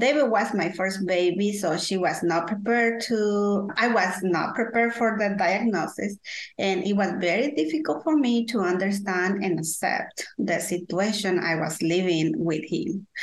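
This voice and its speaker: Her pitch is medium and varies in an ordinary way. The woman keeps a moderate pace with hardly any pauses. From Guatemala. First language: Spanish. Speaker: parent consultant, advocate for deaf children's families. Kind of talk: interview, personal storytelling. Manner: halting, hesitant with fillers.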